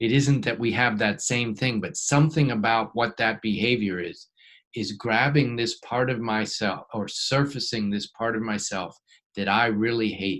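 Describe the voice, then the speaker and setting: Speaking at a moderate pace, a man keeps a medium pitch with ordinary pitch variation. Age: 60s. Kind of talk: teaching talk to a small group. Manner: halting, with many fillers and restarts.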